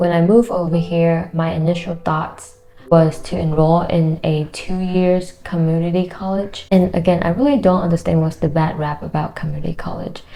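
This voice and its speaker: Over noticeable background noise, a woman with a non-native accent talks at a moderate pace in a fairly low pitch, her intonation fairly even and her speech showing hardly any pauses. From Vietnam. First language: Vietnamese. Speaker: engineer and YouTuber. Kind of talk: casual vlog talk to camera.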